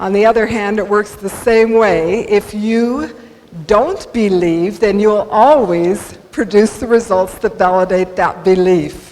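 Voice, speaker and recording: A woman with an American accent speaks at a fairly slow pace and medium pitch, with ordinary pitch variation over noticeable background noise. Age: 60s. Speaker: motivational speaker. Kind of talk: inspirational talk. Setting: stage with audience.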